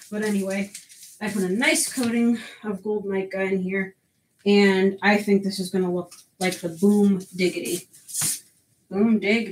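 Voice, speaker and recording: The woman's voice is medium in pitch and somewhat breathy. She speaks at a moderate pace. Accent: American. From US Northeast, Connecticut. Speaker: soap maker streamer. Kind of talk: live stream chat. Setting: live stream at home. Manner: animated.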